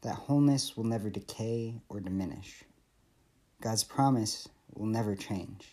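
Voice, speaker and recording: An unremarkable speaking voice: a man with an American accent, medium pitch, ordinary pitch variation and a fairly slow pace. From Michigan. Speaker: PhD student giving scripture reflection. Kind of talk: devotional reflection. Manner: earnest, measured.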